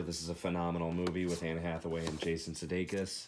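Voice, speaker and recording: At a very fast pace, a man speaks with a very deep, low pitch. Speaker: movie collector vlogger. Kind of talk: casual collection showcase. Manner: soft.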